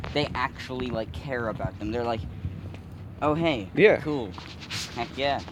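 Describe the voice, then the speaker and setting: A man with a medium pitch talks at a fairly slow pace with long, frequent pauses. Noticeable background noise runs underneath. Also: lively intonation. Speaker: co-host. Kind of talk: casual banter.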